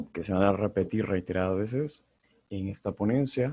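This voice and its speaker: Speaking at a fairly quick pace, a man uses a fairly low pitch. His tone is dark and mellow. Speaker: medical student lecturer. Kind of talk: lecture. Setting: video call.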